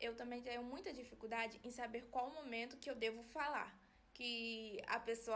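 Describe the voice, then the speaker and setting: This soft-spoken woman has a high pitch and fairly even intonation. She talks at a moderate pace over noticeable background noise. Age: 20s. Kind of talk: personal explainer video. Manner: flat, little modulation.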